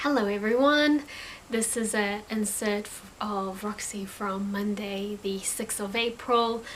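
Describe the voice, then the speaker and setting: With audible room echo and noticeable background noise, a woman speaks very slowly at a medium pitch with fairly even intonation. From New Zealand. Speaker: crochet crafter and vlogger. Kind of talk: casual craft vlog. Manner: casual, hesitant with fillers and repeats.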